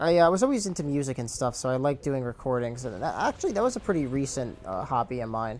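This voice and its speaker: Mumbling at a fairly quick pace, a man uses a fairly high pitch and lively intonation. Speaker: gamer and video commentator. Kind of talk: casual chat. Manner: stutters and mumbles; uses many fillers.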